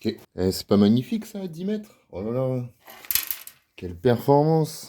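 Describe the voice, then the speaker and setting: This man talks at a very slow pace in a medium pitch, his tone dark and mellow. His pitch swings very widely. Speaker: airsoft hobby youtuber. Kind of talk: casual tutorial and test commentary. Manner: hesitant, many fillers.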